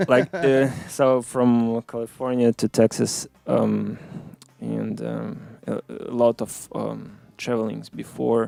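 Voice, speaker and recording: A man speaks at a very slow pace in a Russian accent, with big swings in loudness. The sound is dry and close, with no echo. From Ukraine (Odessa), born in Moscow. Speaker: musician. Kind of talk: interview. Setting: studio. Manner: halting, many fillers.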